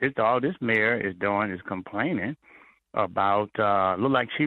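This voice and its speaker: With an American accent, a man in an unremarkable speaking voice talks at a moderate pace. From US South. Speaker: mayoral candidate. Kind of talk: radio interview.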